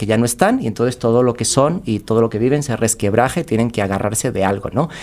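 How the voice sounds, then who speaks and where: Speaking at a fairly quick pace, a man with a medium pitch and ordinary pitch variation has a plain, everyday voice. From Spain. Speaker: podcast guest, creative. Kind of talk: casual interview chat.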